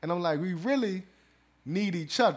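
A man's high-pitched voice with lively intonation at a fairly quick pace, on a very clean recording with a silent background. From US South, New Orleans. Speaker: podcast host. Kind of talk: casual chat.

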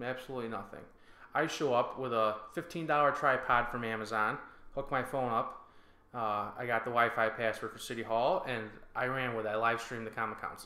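A man with an American accent speaks fairly quickly at a medium pitch, his intonation fairly even. His tone is bright and sharp, with audible room echo. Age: 20s. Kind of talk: casual interview.

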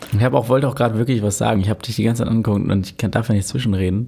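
A man speaks with a somewhat breathy voice, a dark, mellow tone, and ordinary pitch variation. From Hamburg (Lurup, born in Altona). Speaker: DJ and electronic music producer. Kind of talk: casual interview chat. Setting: podcast studio.

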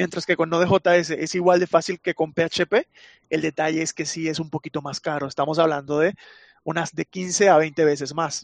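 The delivery is monotone and flat at a moderate pace, with a dry, close sound with no echo. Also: man. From Venezuela. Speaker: chatbot developer. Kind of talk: casual interview chat.

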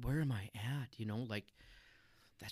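Fairly quick in pace, a man uses a normal speaking voice at medium pitch with ordinary pitch variation. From US Midwest, North Dakota (Minot). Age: 40s. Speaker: church member, former railroad worker. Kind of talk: testimony.

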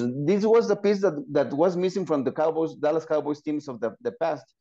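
Speaking at a fairly quick pace, a man has a dark, mellow tone. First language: Spanish. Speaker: football podcast co-host. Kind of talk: podcast interview.

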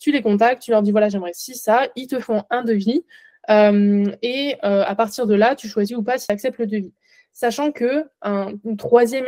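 A woman's dark, mellow tone with fairly even intonation, in a dry, close sound with no echo. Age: 20s. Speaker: nutrition adviser. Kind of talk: interview.

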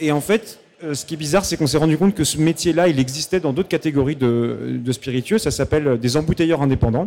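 This man's fairly high voice has a dark, mellow tone and ordinary pitch variation. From Normandy, Pays de Caux. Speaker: calvados producer. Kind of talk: stage interview. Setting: festival stage with audience. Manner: hesitant, many repetitions.

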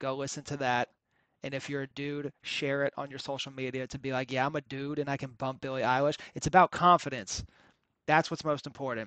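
A man with an American accent talks fairly fast at a fairly high pitch in a bright, sharp tone, with a dry, close sound with no echo over a quiet background. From North Carolina. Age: 20s. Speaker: podcast host, stand-up comedian. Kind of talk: casual solo monologue. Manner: animated, rambling.

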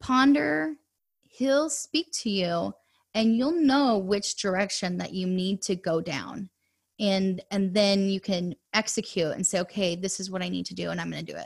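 A woman speaks at a fairly slow pace with a medium pitch. The recording is very clean, with a silent background. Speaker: adoptive mother and personal finance coach. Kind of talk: podcast interview, personal testimony.

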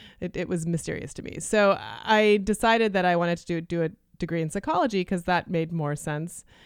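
A woman with an ordinary speaking voice and a Canadian accent talks at a fairly quick pace and fairly low pitch, with ordinary pitch variation and big swings in loudness, in a very clean recording with a silent background. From Canada (Toronto), Lithuanian refugee family. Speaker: neuroscientist and opera singer. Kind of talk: interview.

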